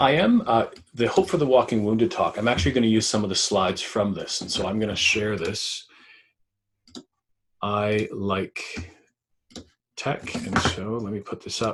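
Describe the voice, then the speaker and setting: A man with a Canadian accent speaks at a medium pitch, somewhat breathy, with lively intonation and long, frequent pauses. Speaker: public speaker. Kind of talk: talk. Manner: fast.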